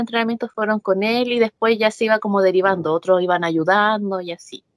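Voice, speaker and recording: A woman speaks in a Chilean accent at a fairly quick pace. Her pitch is medium, and the sound is dry and close with no echo. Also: hardly any pauses. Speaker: professional wrestler. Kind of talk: interview. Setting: video call. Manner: animated.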